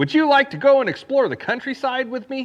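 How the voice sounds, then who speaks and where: In a put-on character voice, a man talks at a fairly quick pace with an extremely high pitch. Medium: read story. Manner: playful, persuasive.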